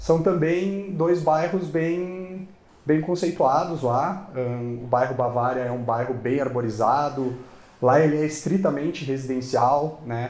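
Audible room echo surrounds a man with a fairly high pitch who speaks at a very slow pace with ordinary pitch variation. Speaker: construction company sales manager. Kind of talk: interview. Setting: studio.

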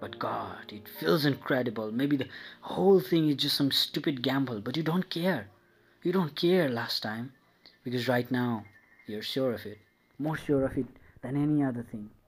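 A man talks at a moderate pace with a medium pitch and ordinary pitch variation. It is an unremarkable speaking voice. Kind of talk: dramatic second-person narration, reading a love story aloud. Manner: intense, confessional, building from tender to obsessive; repetitive, incantatory, stumbling and self-correcting at times.

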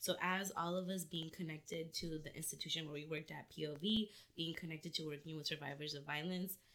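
A plain, everyday voice at a fairly quick pace, fairly even in intonation, with hardly any pauses. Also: woman, fairly low pitch for a woman. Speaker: healer. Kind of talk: casual chat.

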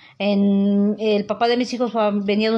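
A woman speaks in a flat monotone at a medium pitch, her tone dark and mellow, with a quiet background. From Mexico, Puebla state (Teziutlán). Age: 50s. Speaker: house cleaner. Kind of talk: interview testimony.

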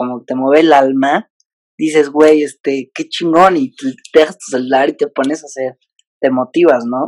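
The voice is an unremarkable speaking voice with ordinary pitch variation. It moves at a moderate pace. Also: man, dry, close sound with no echo. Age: 20s. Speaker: digital comedian. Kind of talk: casual interview chat. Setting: video call.

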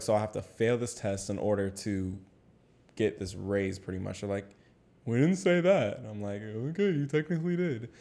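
Speaking at a fairly quick pace, a man with a medium-pitched voice and a dark, mellow tone uses lively intonation. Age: 20s. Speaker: podcast co-host. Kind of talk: casual chat.

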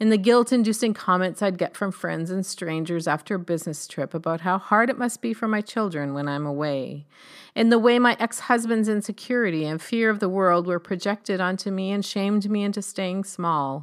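On a very clean recording with a silent background, a woman with a normal speaking voice of medium pitch talks at a fairly quick pace with ordinary pitch variation and hardly any pauses. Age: 50s. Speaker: essay author reading her own writing. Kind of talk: reading aloud.

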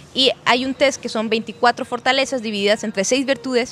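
A woman speaks over noticeable background noise. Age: 30s. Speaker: psychologist and speaker. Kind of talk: podcast interview. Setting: brewery venue.

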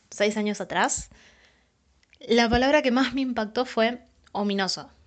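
In a Rioplatense accent, a woman speaks with an animated tone at a moderate pace and fairly high pitch, her pitch varying an ordinary amount against a quiet background. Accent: Argentine Rioplatense Spanish. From Argentina, San Pedro, Buenos Aires province. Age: 20s. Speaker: writer, anthology author. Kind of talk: casual testimony.

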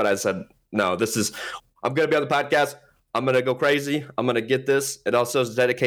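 The clip is plain reading aloud with fairly even intonation over a quiet background.

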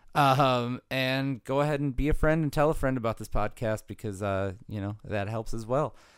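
In a normal speaking voice with an American accent, a man of medium pitch talks at a moderate pace with ordinary pitch variation and hardly any pauses, on a very clean recording with a silent background. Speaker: podcast co-host and music writer. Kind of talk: casual chat. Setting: home recording.

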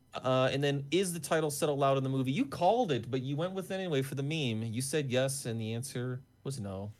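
Talking very fast with hardly any pauses, a man with a fairly high pitch shows ordinary pitch variation. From Wisconsin. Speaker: podcast host. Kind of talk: casual comedic chat about a movie. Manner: animated, jokey, profane.

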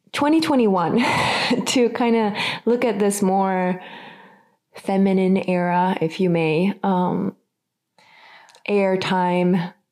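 Very slowly and with long, frequent pauses, a woman speaks at medium pitch in a slightly mellow tone with fairly even intonation.

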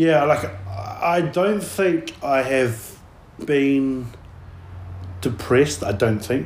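A man with a New Zealand accent speaks very slowly, with long, frequent pauses. His pitch swings very widely. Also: medium pitch for a man. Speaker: podcast host. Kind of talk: casual chat. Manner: casual.

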